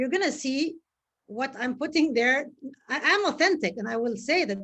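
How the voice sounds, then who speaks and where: The speaker is a woman. Her pitch is high. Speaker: live show host. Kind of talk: live interview. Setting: Facebook live video. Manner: fast.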